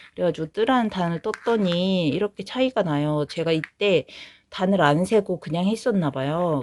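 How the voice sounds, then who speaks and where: Against a quiet background, a woman with a medium-pitched voice speaks at a moderate pace with lively intonation. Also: dry, close sound with no echo. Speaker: knitting vlogger. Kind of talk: casual vlog chat.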